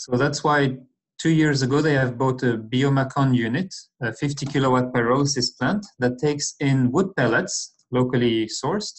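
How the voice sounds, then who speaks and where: A man at a moderate pace with very even loudness. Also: ordinary pitch variation. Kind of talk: lecture. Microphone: webcam.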